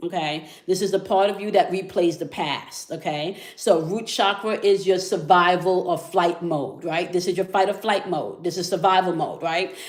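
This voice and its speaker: Hardly pausing, the speaker keeps a moderate pace against noticeable background noise. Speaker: spiritual tarot reader. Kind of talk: energy reading livestream monologue. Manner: casual, repetitive okay fillers.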